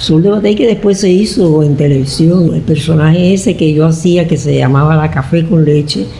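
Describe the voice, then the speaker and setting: Through noticeable background noise, a woman speaks at a moderate pace with a fairly low pitch and lively intonation. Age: 80s+. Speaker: radio actress. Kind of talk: interview answer.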